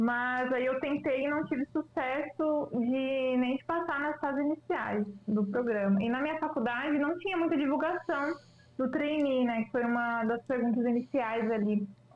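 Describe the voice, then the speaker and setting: A woman speaks fairly slowly in a high voice with ordinary pitch variation. Her loudness stays very even. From Lages, Santa Catarina, southern Brazil. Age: 20s. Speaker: data analyst and job candidate. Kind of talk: casual interview. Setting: remote call.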